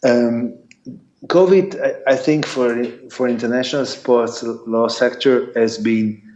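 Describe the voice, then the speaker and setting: A man with an Italian accent speaks at a very slow pace and medium pitch with lively intonation, and audible room echo is present. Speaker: sports lawyer and arbitrator. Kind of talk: conference talk Q&A. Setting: video call. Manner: halting.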